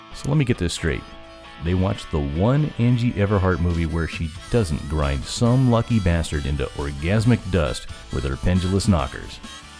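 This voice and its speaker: A man speaks at a moderate pace in a very deep, low voice with very wide swings in pitch. Music plays in the background. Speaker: voice actor / podcast announcer. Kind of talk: comedic podcast intro and outro read. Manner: sarcastic, irreverent, comedic.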